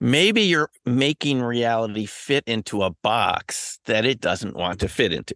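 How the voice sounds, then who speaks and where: A man with an American accent speaks in a normal speaking voice at a fairly slow pace with hardly any pauses, medium pitch and ordinary pitch variation, the sound dry and close with no echo against a quiet background. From New York City area. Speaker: former professor and paranormal researcher. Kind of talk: interview.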